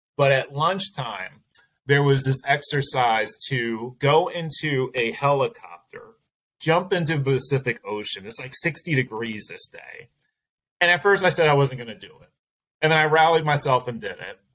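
In a normal speaking voice, a man with a fairly high pitch speaks at a moderate pace, his intonation lively and his loudness swinging widely. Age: 40s. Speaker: branding firm founder and CEO. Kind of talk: interview conversation.

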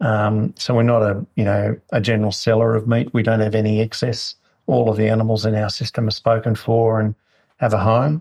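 A somewhat breathy male voice with an Australian accent, monotone and flat, at very even loudness. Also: medium pitch for a man, fairly quick pace, dry, close sound with no echo. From New South Wales, Australia. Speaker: food business founder. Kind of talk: interview. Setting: at his home.

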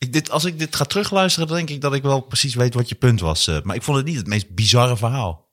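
At a very fast pace with hardly any pauses, a somewhat breathy man of medium pitch speaks in very wide pitch swings, on a very clean recording with a silent background. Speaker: comedian and podcast host. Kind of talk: casual chat.

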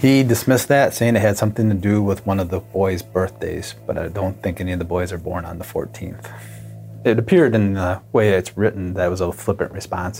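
Music plays in the background as a man with an American accent and very deep, low pitch talks at a fairly quick pace with ordinary pitch variation. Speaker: police detective interviewed. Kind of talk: interview recollection.

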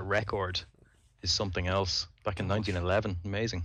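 With a Dublin accent, a man speaks in a very deep, low voice. His pace is moderate and the background is quiet. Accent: Dublin Irish. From Dublin, Ireland. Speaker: podcaster and amateur pilot. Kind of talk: casual chat.

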